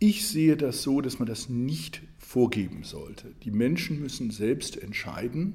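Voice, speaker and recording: A man with lively intonation. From Germany, Saarland. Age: 60s. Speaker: economics professor and political candidate. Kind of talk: interview. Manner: hesitant with frequent fillers.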